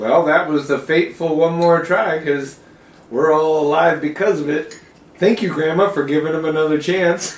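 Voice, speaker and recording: A man uses a plain, everyday voice that sits fairly high and keeps a moderate speed. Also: fairly even intonation. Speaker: grandchild interviewer. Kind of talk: casual family conversation.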